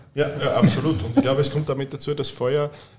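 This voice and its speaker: Against noticeable background noise, a man speaks very fast with fairly even intonation. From Austria, Styria. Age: 30s. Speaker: hotel director. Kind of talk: casual interview. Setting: hotel wine room.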